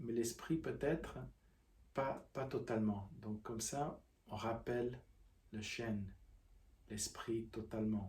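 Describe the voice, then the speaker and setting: A man talks at a very slow pace, with long, frequent pauses. His voice is somewhat breathy and calm in tone, with ordinary pitch variation. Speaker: qigong teacher. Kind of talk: guided practice instruction. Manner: halting.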